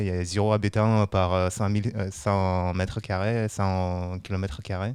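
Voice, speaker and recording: Fairly even intonation at a moderate pace, on a very clean recording with a silent background. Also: man. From Siberia, Russia (Buryat family). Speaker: brewery quality control worker. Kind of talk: casual chat. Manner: hesitant.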